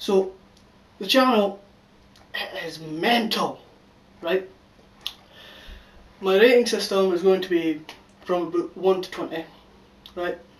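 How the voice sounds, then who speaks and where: Over noticeable background noise, a high-pitched man with a Scottish accent speaks at a fairly slow pace, leaving long, frequent pauses. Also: ordinary pitch variation, big swings in loudness. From Scotland. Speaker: YouTube channel reviewer. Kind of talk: casual video review.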